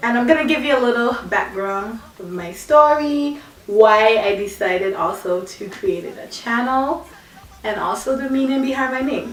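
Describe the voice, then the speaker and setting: A speaker with a Virgin Islands accent uses lively intonation, with audible room echo and noticeable background noise. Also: woman, high pitch for a woman, moderate pace, big swings in loudness. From British Virgin Islands, Tortola. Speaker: vlogger. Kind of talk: personal vlog, casual storytelling.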